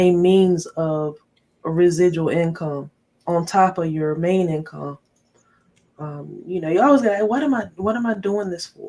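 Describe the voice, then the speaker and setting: Speaking with an American accent, a woman with a fairly low pitch talks at a fairly slow pace with ordinary pitch variation. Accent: Southern drawl, noticeable when tired. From North Carolina. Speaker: tech YouTuber. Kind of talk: live stream chat.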